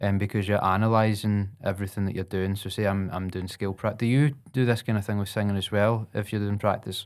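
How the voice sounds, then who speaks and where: A man with a Scottish accent speaks at a fairly quick pace and fairly low pitch, his intonation fairly even, on a very clean recording with a silent background. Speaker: podcast host and saxophonist. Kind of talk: casual chat.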